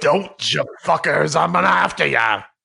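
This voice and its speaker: Raspy, fairly high male put-on character voice at a moderate pace. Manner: angry, threatening.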